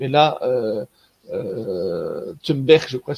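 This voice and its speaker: A man's voice comes through somewhat breathy. The sound is dry with no echo, over a quiet background. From Belgium. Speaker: cryptozoologist and nature guide; nature guide. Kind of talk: online lecture with slides. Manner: hesitant, many fillers.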